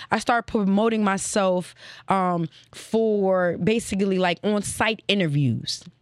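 With an ordinary speaking voice and an American accent, a woman of medium pitch talks at a fairly slow pace, her loudness very even and her pitch variation ordinary, in a very clean recording with a silent background. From Northern Virginia (Alexandria), DC area. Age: 30s. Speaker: podcast host and former radio intern. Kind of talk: casual interview chat. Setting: studio with live crew and audience.

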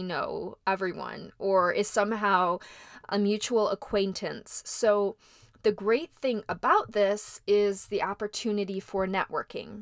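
A woman's fairly high voice with a slight Midwestern accent, at a very slow pace, in a dry, close sound with no echo. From US Midwest. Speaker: podcast host, actress and model. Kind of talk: solo podcast monologue.

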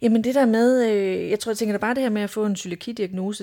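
The voice moves fairly quickly, its tone dark and mellow, its pitch varying in an ordinary way. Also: woman. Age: 30s. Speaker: clinical dietitian. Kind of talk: casual interview. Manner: hesitant, many filler words.

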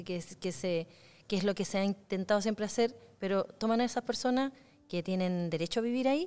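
In a normal speaking voice, a woman talks at a fairly quick pace with lively intonation and a medium pitch. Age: 40s. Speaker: podcast host. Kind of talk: casual interview. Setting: cultural centre in Concepción.

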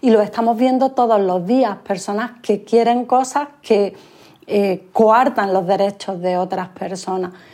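This woman has an unremarkable speaking voice with fairly high pitch. Her intonation is fairly even, and she talks at a fairly slow pace. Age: 50s. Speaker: author and gender equality consultant. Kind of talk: interview.

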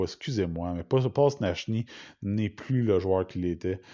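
In a Quebec accent, a man speaks fairly slowly with a fairly low voice and ordinary pitch variation. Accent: Québécois French. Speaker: hockey podcaster. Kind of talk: solo podcast monologue. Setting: at home in quarantine. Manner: halting.

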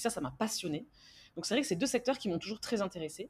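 The recording is very clean and the background silent. A woman's voice sounds somewhat breathy. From France. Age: 30s. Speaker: entrepreneur. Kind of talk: interview.

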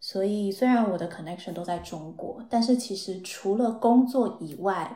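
A woman's somewhat breathy, dark and mellow voice at medium pitch, fairly slow, with ordinary pitch variation. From Taiwan. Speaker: marketing professional. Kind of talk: casual interview chat.

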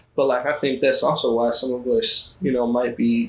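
Speaking at a moderate pace, a man talks in an American accent. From US, Baltimore, Maryland. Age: 20s. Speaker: artist and curator. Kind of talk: casual interview chat. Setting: podcast interview.

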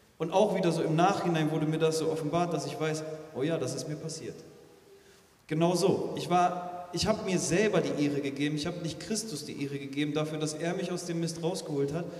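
A man speaks fairly quickly with fairly even intonation, and noticeable background noise runs underneath. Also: fairly high pitch for a man. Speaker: interview guest. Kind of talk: testimony, interview chat. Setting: church.

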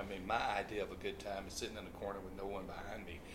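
Talking at a very fast pace, a man with a fairly low pitch is heard with audible room echo. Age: 60s. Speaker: pastor and author. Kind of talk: casual interview.

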